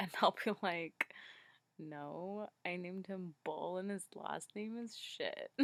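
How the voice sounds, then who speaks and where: Spoken quietly at a very slow pace, the voice has a dry, close sound with no echo. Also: woman, medium pitch for a woman, fairly even intonation. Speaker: video blogger. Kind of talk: casual vlog chat. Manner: quiet, hushed.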